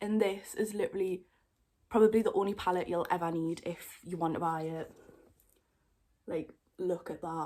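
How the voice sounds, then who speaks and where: In a Geordie accent, a woman speaks at medium pitch with a dark, mellow tone, fairly even intonation and long, frequent pauses. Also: moderate pace. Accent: Geordie (Newcastle). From northern England, Newcastle. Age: 20s. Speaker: makeup YouTuber. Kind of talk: casual chat, makeup tutorial. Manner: chatty.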